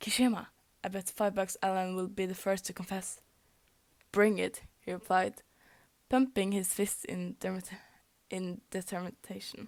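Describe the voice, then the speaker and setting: Monotone, flat intonation marks this speaker with a Norwegian accent, who talks at a moderate pace with long, frequent pauses. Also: woman, medium pitch for a woman. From Norway. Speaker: fanfic reader. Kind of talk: reading aloud. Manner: halting, stumbles over words.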